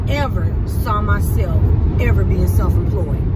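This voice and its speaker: Despite loud background noise, the woman's fairly slow speech comes through dry, with no echo. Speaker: vlogger. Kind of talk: casual vlog chat. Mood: reflective, earnest. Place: car. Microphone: phone near.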